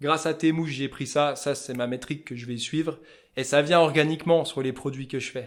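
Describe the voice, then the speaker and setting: On a very clean recording with a silent background, a man with a Vosges accent speaks at a moderate pace, fairly high in pitch with ordinary pitch variation. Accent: Vosges regional French. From Vosges, France. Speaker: fly-tying entrepreneur. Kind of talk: podcast interview answer. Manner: loud.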